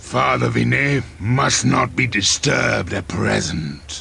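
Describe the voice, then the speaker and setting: A man growls in a put-on character voice of very deep, low pitch. He goes at a fairly slow pace over clear background noise. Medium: machinima. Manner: insolent, frequent laughter.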